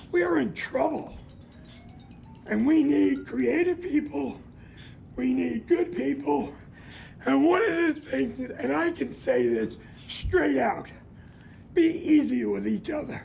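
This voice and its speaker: A man speaks at a very slow pace with long, frequent pauses over noticeable background noise. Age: 70s. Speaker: community activist. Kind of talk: public comment.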